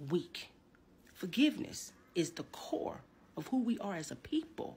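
The woman's voice has a somewhat breathy quality. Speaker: minister. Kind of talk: sermon. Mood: earnest, preachy. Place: home room.

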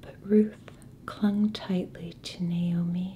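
A soft-spoken woman is whispering. Light background noise sits behind her. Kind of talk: scripture reading. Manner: soft-spoken, whispered. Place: home room.

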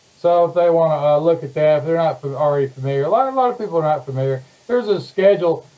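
The delivery is very fast with lively intonation. The tone is dark and mellow. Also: man, fairly high pitch for a man. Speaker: online show host. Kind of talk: casual livestream introduction. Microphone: webcam.

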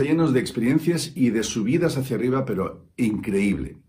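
A man's dark, mellow voice with vocal fry and lively intonation, at a moderate pace. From Spain (Valencia); Spain. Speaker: musician; coach. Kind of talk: testimonial. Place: studio. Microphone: phone near.

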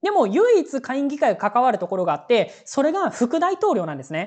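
Nothing much stirs in the background. The talking goes at a moderate speed. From Japan, Aichi. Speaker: news commentary youtuber. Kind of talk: solo news commentary. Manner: casual with many fillers.

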